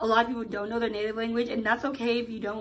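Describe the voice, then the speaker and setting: A woman speaks at a fairly high pitch. Audible room echo surrounds her voice. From US (Nigerian family, moved at age 2-3). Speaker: YouTuber. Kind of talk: casual vlog Q&A. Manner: casual, filler-heavy.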